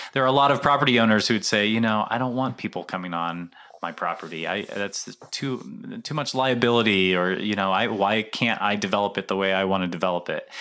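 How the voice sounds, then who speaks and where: An unremarkable speaking voice from a man with an American accent, fairly quick with hardly any pauses and ordinary pitch variation, on a very clean recording with a silent background. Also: fairly low pitch for a man. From Colorado, US (Denver). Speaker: urban park nonprofit staffer. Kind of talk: interview.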